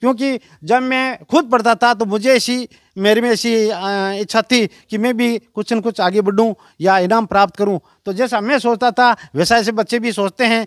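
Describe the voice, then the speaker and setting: A man with a high voice speaks with fairly even intonation. The recording is very clean and dry, close with no echo, over a silent background. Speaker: retired school lecturer. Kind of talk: interview. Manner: halting.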